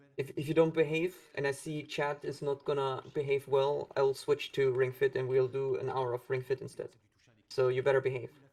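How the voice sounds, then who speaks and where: A man talks quietly in a fairly high, somewhat breathy voice. His intonation stays flat and monotone. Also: moderate pace. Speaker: speedrunner. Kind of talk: live gameplay commentary.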